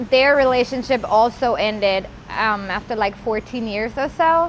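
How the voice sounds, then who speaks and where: Noticeable background noise accompanies this woman's speech. Her voice is high and her pace is moderate. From Germany, Bavaria. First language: German. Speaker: former inmate sharing life story. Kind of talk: interview testimony. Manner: hesitant, with fillers.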